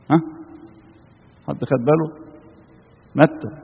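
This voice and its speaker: The speaker is a man with a fairly high pitch. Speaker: Coptic priest or preacher. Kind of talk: sermon.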